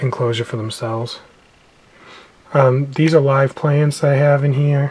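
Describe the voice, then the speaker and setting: The speech runs at a moderate pace. Noticeable background noise sits behind it. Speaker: reptile keeper. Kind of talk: casual talk to camera.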